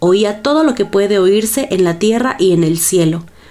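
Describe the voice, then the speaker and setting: A woman speaks with a Latin American accent. Music plays in the background. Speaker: audiobook narrator. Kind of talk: audiobook reading of a classic horror story.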